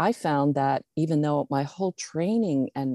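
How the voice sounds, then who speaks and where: Over a quiet background, a woman with a very deep, low pitch speaks in a playful, dark and mellow tone with ordinary pitch variation. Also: dry, close sound with no echo. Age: old. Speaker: author and former visual merchandiser. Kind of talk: casual interview chat. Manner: playful, laughs often.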